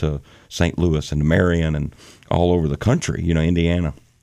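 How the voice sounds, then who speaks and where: Recorded very cleanly with a silent background, a man with a Southern US accent speaks at a moderate pace in a very deep, low pitch and a dark, mellow tone. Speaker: bass vocalist in a gospel quartet. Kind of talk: casual interview chat. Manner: animated.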